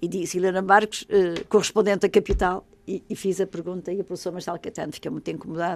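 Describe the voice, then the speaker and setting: A woman at a medium pitch and a very fast pace, with monotone, flat intonation, big swings in loudness and hardly any pauses. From Portugal, Madeira. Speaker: novelist and journalist. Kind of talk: interview.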